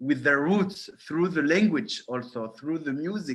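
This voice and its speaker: Ordinary pitch variation from a man with a French accent. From France, born in Morocco. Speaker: film director. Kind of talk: Q&A interview. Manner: halting, many hesitations.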